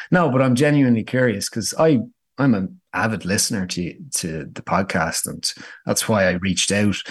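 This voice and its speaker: A Dublin accent with lively intonation over a quiet background. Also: man, fairly low pitch for a man, moderate pace. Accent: Dublin Irish. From Dublin, Ireland. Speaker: startup founder. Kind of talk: business interview. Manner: fluent, filler-heavy, repeats words.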